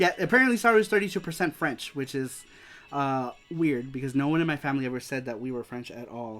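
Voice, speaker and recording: A man's fairly high, lively voice with an American accent at a very fast pace, big swings in loudness, and music in the background. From US West Coast, East Los Angeles. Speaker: streamer hosting a retro game show. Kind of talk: live stream chat. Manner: casual, halting with repetitions.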